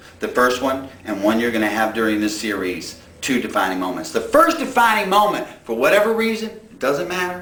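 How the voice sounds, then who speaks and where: Medium-pitched male voice at a fairly quick pace, with very wide pitch swings, audible room echo and noticeable background noise. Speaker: preacher. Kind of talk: sermon.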